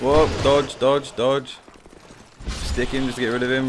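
A man's voice over noticeable background noise. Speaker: gaming YouTuber. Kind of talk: let's play gameplay commentary.

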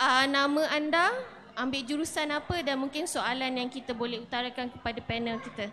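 A woman speaks at a moderate pace in a raised, projected voice, her high pitch held to fairly even intonation over light background noise. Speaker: event organizer; session moderator. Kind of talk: announcements. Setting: stage with audience. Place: tent. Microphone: handheld.

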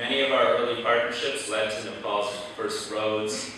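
A man speaks at a moderate pace, with strong room echo and light background noise. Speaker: guest. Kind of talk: formal speech. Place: hall.

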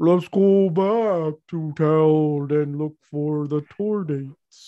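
In a put-on character voice, someone talks at a middle pitch and a very slow pace. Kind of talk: casual role-play game chat.

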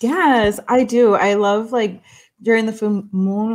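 Moderate pace from a woman with an American accent. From Brooklyn, New York, Salvadoran family. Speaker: podcast co-host. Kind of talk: casual chat. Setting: at home. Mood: warm, relaxed. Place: home room. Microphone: webcam.

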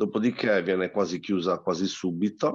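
Speech comes at a moderate pace. The background is quiet. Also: man. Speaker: angler; guest. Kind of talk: casual chat. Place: home room. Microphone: video call.

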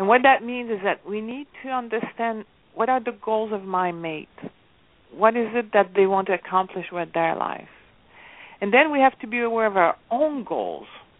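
This woman has an ordinary speaking voice, fairly high in pitch, moving at a moderate pace with ordinary pitch variation. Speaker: relationship coach and author. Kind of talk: radio interview.

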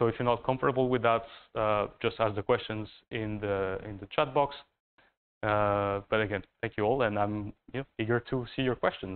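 A man with a French accent talks at a moderate pace in a fairly low pitch, keeping his intonation fairly even. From France. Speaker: master's student; presenter. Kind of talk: thesis presentation. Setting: university room, live stream. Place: classroom.

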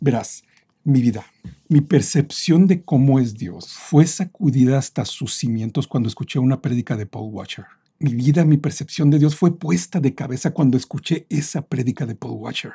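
This man has a fairly high pitch, vocal fry and lively intonation at a moderate pace. The sound is dry and close, with no echo. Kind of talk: product review and testimony.

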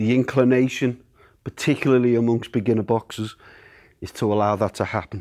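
The background is quiet as a man speaks. His pace is moderate and his intonation fairly even. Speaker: boxing coach. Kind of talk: tutorial. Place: gym.

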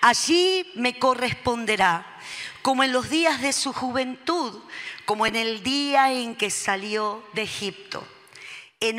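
A woman's high-pitched, bright, sharp voice with lively intonation at a very slow pace, against a quiet background. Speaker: pastor preaching. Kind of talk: sermon reading and prayer. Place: church. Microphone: handheld.

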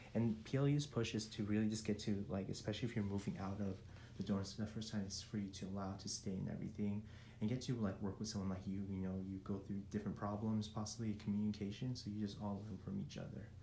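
A man speaks with fairly low pitch and a dark, mellow tone, somewhat breathy and with fairly even intonation, over light background noise and audible room echo. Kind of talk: casual vlog tour narration. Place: home room. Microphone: phone near.

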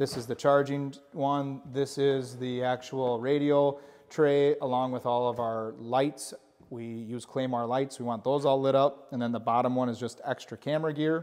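The man's intonation stays monotone and flat. He keeps a moderate pace. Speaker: channel host giving a tour. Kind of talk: casual vlog chat. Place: office.

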